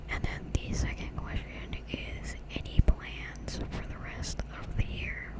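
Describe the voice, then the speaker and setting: Over noticeable background noise, a woman whispers in a gentle, relaxed tone at a very slow pace, with hardly any pauses and big swings in loudness. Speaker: ASMR YouTuber. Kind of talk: ASMR Q&A, whispered and soft-spoken. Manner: soft-spoken, gentle, relaxed.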